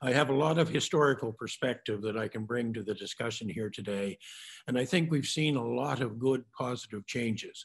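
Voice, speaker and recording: With a Maritime Canadian accent, a man talks at a fairly quick pace in a medium pitch with ordinary pitch variation. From New Brunswick, Carleton County. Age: 70s. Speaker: mayor. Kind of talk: panel remarks. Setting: virtual panel event.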